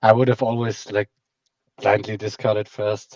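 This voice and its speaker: A man with a German accent and fairly low pitch speaks in a monotone, flat intonation at a moderate pace, with a dry, close sound and no echo. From German-speaking Europe. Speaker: game commentator. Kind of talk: live commentary.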